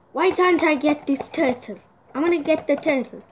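A cartoonish character voice, high in pitch, carries the line. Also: moderate pace. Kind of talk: comic puppet play. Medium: puppet.

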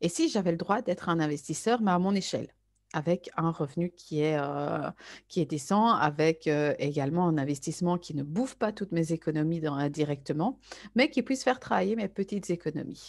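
A woman with an unremarkable speaking voice talks at a fairly low pitch and a moderate pace with lively intonation, in a very clean recording with a silent background. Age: 30s. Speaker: network marketer. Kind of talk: sales pitch.

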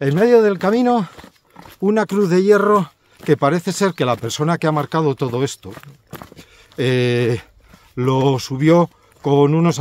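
The man's pitch swings very widely as he talks at a moderate pace. The sound is dry, with no echo. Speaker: pilgrim hiker vlogger. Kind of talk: casual vlog chat. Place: open country. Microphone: phone near.

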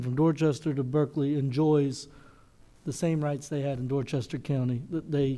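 Over a quiet background, a man speaks at a moderate pace. His intonation is fairly even. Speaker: council member. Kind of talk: meeting discussion remarks. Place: hall. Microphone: podium.

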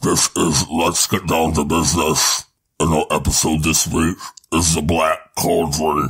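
Very deep and low in pitch, a man talks at a fairly slow pace in a monotone, flat intonation. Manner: dark, villainous.

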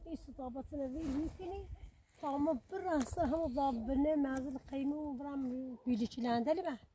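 A woman with a high pitch and a dark, mellow tone speaks at a moderate pace with ordinary pitch variation, the sound dry with no echo and light background noise behind her. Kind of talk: casual talk to family. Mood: worried, urgent. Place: open country.

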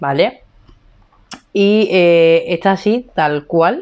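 Against a quiet background, a woman talks in an animated tone with lively intonation. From Spain. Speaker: beauty vlogger. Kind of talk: casual vlog chat. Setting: home room. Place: home room. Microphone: lapel.

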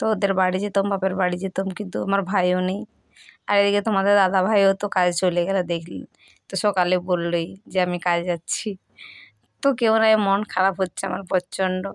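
A woman's medium-pitched, monotone, flat delivery, dry and close with no echo, on a very clean recording with a silent background. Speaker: lifestyle vlogger. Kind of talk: casual vlog talk to camera. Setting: at home.

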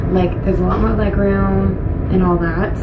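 A woman talks fairly quickly while loud noise fills the background. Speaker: vlogger. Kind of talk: casual vlog chat. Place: train. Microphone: phone near.

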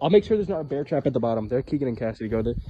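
Light background noise sits behind a dark, mellow tone. The voice is somewhat breathy. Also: man. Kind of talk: casual vlog chat. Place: hall. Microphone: phone near.

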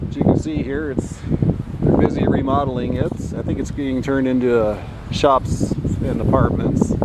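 Loud background noise sits behind a man speaking at a moderate pace. His ordinary pitch variation comes through in a dry sound with no echo. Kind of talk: casual commentary. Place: street. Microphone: phone near.

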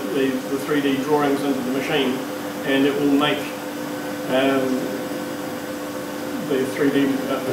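A man speaks at a moderate pace, with audible room echo. Loud background noise runs underneath. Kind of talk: informal explanation to camera. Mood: relaxed, friendly. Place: workshop. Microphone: camera far.

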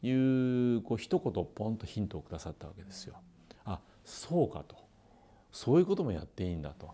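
Dark and mellow in tone, a man's fairly low voice moves at a fairly quick pace with very wide pitch swings. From Kitakyushu, Japan. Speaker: company president, former fast-food store manager. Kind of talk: interview, recounting career story. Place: office. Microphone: lapel.

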